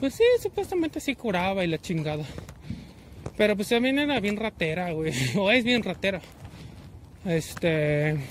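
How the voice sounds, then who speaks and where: Over noticeable background noise, a man speaks fairly slowly with lively intonation. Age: 20s. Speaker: vlogger. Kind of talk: casual monologue while walking. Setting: outdoors, walking.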